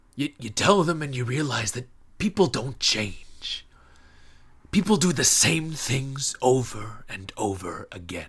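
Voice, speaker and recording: A man puts on a character voice at a medium pitch, with very wide pitch swings. He speaks at a fairly slow pace. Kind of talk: stage monologue. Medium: stage play. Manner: hesitant, reflective, halting repetitions.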